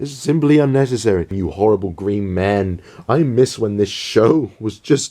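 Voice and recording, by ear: The voice sounds natural. It belongs to someone reading text aloud.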